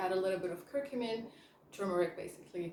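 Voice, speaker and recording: Speech comes at a very fast pace with ordinary pitch variation. Noticeable background noise and audible room echo are present. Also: woman. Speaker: chemist and health coach. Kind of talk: educational vlog. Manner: casual, with fillers.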